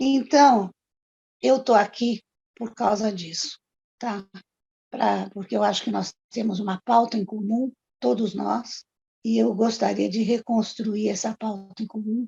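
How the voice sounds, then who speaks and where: A woman with a dark, mellow tone, fairly high pitch and vocal fry speaks at a fairly slow pace with fairly even intonation and long, frequent pauses, in a dry, close sound with no echo. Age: 70s. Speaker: retired court employee and union activist. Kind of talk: oral history testimony.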